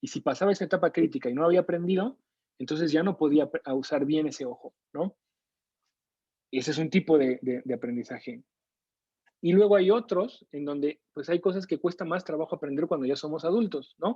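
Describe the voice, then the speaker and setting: Lively intonation and a Mexico City accent come through in a dry, close sound with no echo. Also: man, fairly high pitch for a man. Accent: Mexico City (chilango). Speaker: neuroscience lecturer and researcher. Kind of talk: online lecture. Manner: conversational, with frequent fillers.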